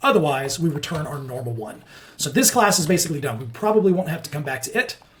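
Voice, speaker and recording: Over noticeable background noise, a man talks at a very fast pace, his pitch swinging very widely. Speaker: software developer teaching coding. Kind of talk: coding tutorial screencast.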